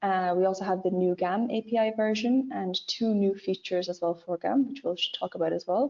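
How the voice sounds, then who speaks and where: This woman talks at a fairly quick pace with hardly any pauses, using a medium pitch and ordinary pitch variation. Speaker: product manager presenting software. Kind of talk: webinar product demo. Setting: online webinar. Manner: fast.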